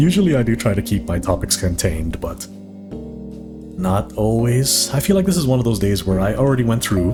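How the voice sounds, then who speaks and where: Music plays in the background as a man talks with hardly any pauses. His voice is fairly low-pitched with lively intonation. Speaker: hobby artist. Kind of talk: casual talk while drawing. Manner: fast; soft-spoken at times.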